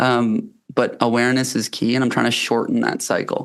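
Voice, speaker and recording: Against a quiet background, a man speaks with a Canadian accent. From Canada. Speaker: company founder and health coach. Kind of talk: podcast interview. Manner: hesitant, many fillers.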